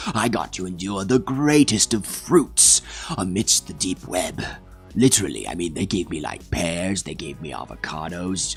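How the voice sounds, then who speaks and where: A man's put-on character voice at a moderate pace over clear music in the background. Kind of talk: mock-epic comic storytelling. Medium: solo performance. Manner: rambling, digressive, deadpan.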